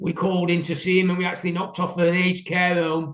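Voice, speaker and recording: A man with a British accent speaks at a high pitch. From England. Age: 60s. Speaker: window cleaner. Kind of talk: interview. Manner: hesitant.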